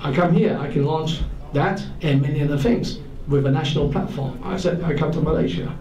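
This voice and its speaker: Fairly high male voice with audible room echo and noticeable background noise. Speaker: telecom executive. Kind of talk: talk to an audience. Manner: fast.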